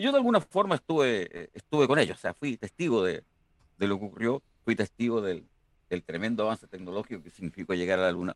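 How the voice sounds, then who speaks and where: A fairly low-pitched man talks at a very fast pace with big swings in loudness, the sound dry and close with no echo. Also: lively intonation. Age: 60s. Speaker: engineering professor. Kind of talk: interview.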